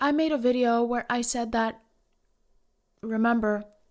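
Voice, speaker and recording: In a very clean recording with a silent background, a woman with a Norwegian accent talks at a moderate pace in a high pitch with ordinary pitch variation. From Norway. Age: 20s. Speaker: Twitch streamer. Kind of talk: casual Q&A talk to camera.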